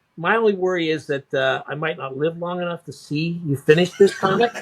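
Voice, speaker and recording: A man's high-pitched voice at a moderate pace, ordinary pitch variation, dry and close with no echo. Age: 60s. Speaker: comic collector and YouTube reviewer. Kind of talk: casual chat. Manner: halting.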